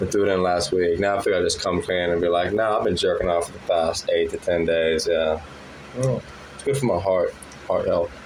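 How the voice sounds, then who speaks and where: Noticeable background noise fills the recording. Through it, a man talks at a fairly quick pace. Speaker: stand-up comedian. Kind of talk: stand-up. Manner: fast.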